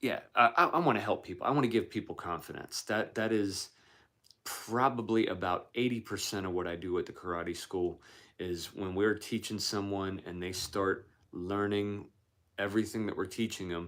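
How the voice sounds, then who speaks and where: Over a silent background in a very clean recording, a man with a fairly low pitch speaks in a normal speaking voice at a moderate pace with ordinary pitch variation. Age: 40s. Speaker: martial arts weapons instructor. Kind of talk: live stream Q&A. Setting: live stream.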